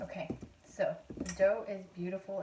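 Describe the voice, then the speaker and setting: A woman's quiet, somewhat breathy voice with a dark, mellow tone. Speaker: home cooking video host. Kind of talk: cooking tutorial. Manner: quieter, hushed; hesitant, many fillers.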